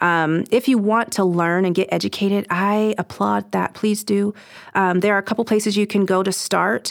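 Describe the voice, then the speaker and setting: With an American accent, this is a plain, everyday voice at a moderate pace, with very even loudness and fairly even intonation. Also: woman, medium pitch for a woman. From Southern California. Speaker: anti-trafficking coordinator for a charity. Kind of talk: casual interview.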